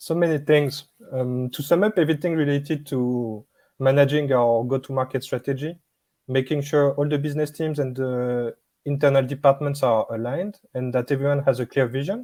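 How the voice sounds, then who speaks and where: A man with a French accent, fairly high in pitch and dark and mellow in tone, with fairly even intonation at a fairly quick pace. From France. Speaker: business product manager. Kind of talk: interview.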